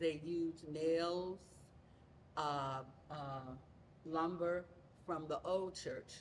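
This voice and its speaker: A woman with a very deep, low pitch and a Southern US accent, very slow and with fairly even intonation. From Louisiana. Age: 70s. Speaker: church member. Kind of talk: interview.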